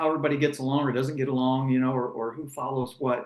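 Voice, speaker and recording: With an American accent and an unremarkable speaking voice, a man talks at a fairly quick pace in a fairly high pitch. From United States. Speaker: former racing driver and broadcaster. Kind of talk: interview conversation.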